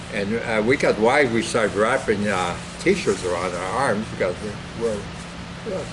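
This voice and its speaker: The speaker has an American accent and a moderate pace, with long, frequent pauses. There is noticeable background noise. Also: man, fairly low pitch for a man. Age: 80s+. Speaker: war veteran, retired farmer. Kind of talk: oral history interview. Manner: halting.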